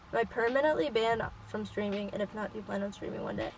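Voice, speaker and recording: A woman's voice, mid-range in pitch, fairly level in intonation, with clearly audible noise behind it. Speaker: youtuber. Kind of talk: casual chat. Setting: outdoors.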